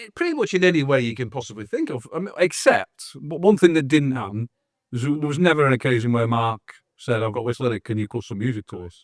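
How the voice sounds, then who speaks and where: A man with a Manchester accent talks at a very fast pace, his pitch medium and his intonation lively. The sound is dry and close, with no echo. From northern England, Manchester (Wythenshawe). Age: 60s. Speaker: musician (drummer). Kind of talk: interview.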